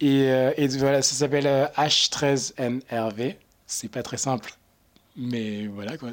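At a very slow pace, a man talks with long, frequent pauses. His medium pitch moves in fairly even intonation. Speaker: marketing intern, student. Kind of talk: casual chat. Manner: halting.

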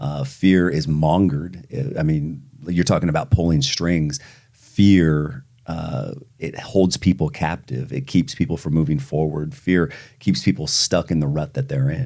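Vocal fry and lively intonation at a fairly slow pace. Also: man, very deep, low pitch for a man. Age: 30s. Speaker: pastor. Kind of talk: interview.

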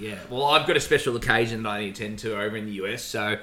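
A man with an Australian accent speaks in a bright, sharp tone. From Melbourne, Australia. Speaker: podcast co-host. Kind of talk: casual chat.

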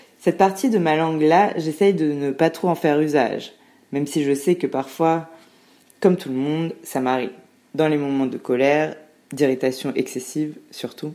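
This woman's voice is very deep and low, with a dark, mellow tone. She speaks at a moderate pace with ordinary pitch variation. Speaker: podcast guest. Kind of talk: scripted narration. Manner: loud.

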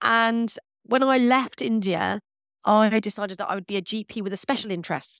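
In a London accent, a woman speaks at a moderate pace with a fairly high pitch and ordinary pitch variation. The recording is very clean with a silent background, dry and close with no echo. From North London, England. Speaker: paediatric consultant. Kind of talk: interview.

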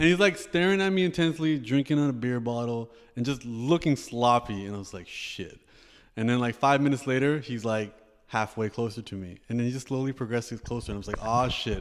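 Here a man with a Canadian accent speaks in an unremarkable speaking voice at a medium pitch, fairly quickly and with lively intonation. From Canada, Toronto. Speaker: rapper, poet and author. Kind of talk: casual interview chat.

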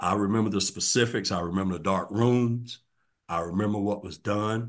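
Speaking in a normal speaking voice, a man keeps a fairly low pitch, a moderate pace and ordinary pitch variation. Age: 50s. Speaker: former prisoner, business owner. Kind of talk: interview, personal testimony.

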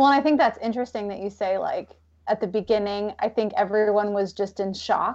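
An ordinary speaking voice with an American accent moves at a fairly quick pace, showing ordinary pitch variation. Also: woman, fairly high pitch for a woman. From Pacific Northwest US (Vancouver, Washington). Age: 30s. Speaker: wedding coach and small business owner. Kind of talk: casual chat.

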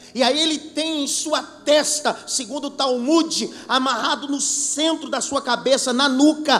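Amid noticeable background noise, a man with an extremely high pitch and an animated tone speaks at a fairly slow pace with ordinary pitch variation. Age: 30s. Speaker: pastor. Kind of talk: sermon.

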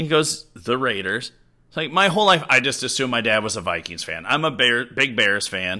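The voice moves at a fairly quick pace with a bright, sharp tone and very wide pitch swings. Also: man. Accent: American. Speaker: teacher and coach. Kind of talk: casual chat.

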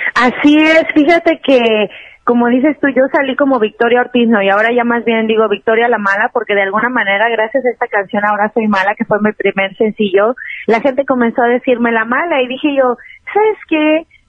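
A woman talks at a fairly quick pace with a high pitch. Her pitch varies in an ordinary way. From Mexico City. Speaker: regional Mexican singer. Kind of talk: casual interview chat.

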